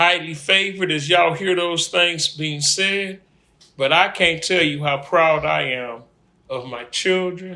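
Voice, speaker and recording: Speaking at a fairly slow pace, a man uses a normal speaking voice with a fairly high pitch and ordinary pitch variation. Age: 60s. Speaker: grandfather being interviewed. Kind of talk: family interview.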